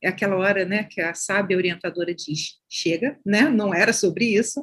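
Somewhat breathy air runs through this woman's voice. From Baixada Fluminense, Rio de Janeiro, Brazil. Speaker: social sciences professor and researcher. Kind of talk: interview.

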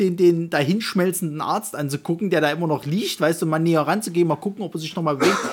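A man talks at a fairly quick pace in a Saxon accent. His pitch sits high for a man. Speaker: film podcast co-host. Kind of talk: casual chat. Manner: halting, with repetitions.

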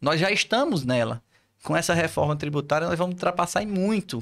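Lively intonation marks this man's ordinary speaking voice, pitched fairly high and delivered at a fairly quick pace. The recording is very clean, with a silent background. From Ceará, Brazil (Poeiras, interior). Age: 40s. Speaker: physiotherapist, head of professional council. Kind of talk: casual interview.

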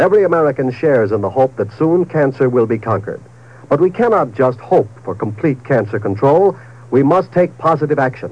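This man has a normal speaking voice of medium pitch, with lively intonation and a fairly quick pace. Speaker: radio announcer. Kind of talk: old-time radio commercial and network promo announcements. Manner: polished, upbeat, brisk, formal.

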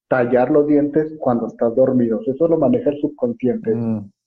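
A man with a Mexican accent, lively intonation and a moderate pace. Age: 40s. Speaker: dentist and dental school lecturer. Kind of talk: casual interview on a live stream.

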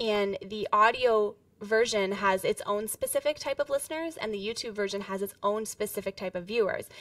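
A woman's fairly high, unremarkable speaking voice with ordinary pitch variation at a moderate pace and hardly any pauses, in a very clean recording with a silent background and a dry, close sound with no echo. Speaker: podcast producer. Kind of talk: casual interview.

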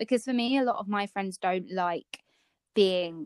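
This woman has a plain, everyday voice, with ordinary pitch variation and a moderate pace. The recording is very clean and silent behind her, with a dry, close sound and no echo. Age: 20s. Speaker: podcast co-host, blogger. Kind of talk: casual chat.

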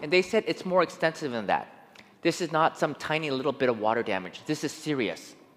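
At a fairly quick pace, a man talks with vocal fry and a fairly high pitch. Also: lively intonation. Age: 40s. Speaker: preacher. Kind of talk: sermon. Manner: animated.

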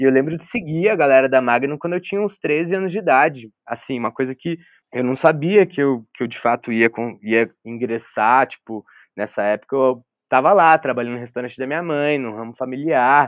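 Fairly quick, medium-pitched speech from a man. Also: ordinary pitch variation. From São Paulo state interior (Vale do Paraíba, Taubaté), born in Porto Velho. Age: 20s. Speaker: photographer. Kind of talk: casual chat. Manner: halting, repeats words.

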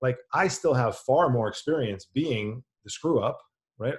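The voice is somewhat breathy, with an American accent and ordinary pitch variation, against a quiet background. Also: man. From New York City area, New Jersey. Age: 40s. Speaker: nutrition coach, former bond trader. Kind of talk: casual chat.

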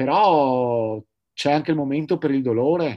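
With an ordinary speaking voice, this man talks fairly high in pitch, his pitch varying in an ordinary way against a quiet background. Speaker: sailor and entrepreneur, paraplegic wheelchair user. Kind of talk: interview.

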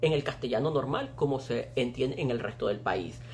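A fairly quick pace drives the delivery. The voice belongs to a man. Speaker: online show co-host. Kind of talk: casual chat.

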